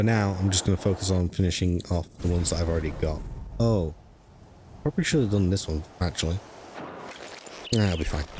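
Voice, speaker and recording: A man with a British accent and a very deep, low voice talks very fast yet with long, frequent pauses, keeping his loudness very even and his pitch variation ordinary. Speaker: gaming streamer. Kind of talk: live gameplay commentary. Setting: live stream.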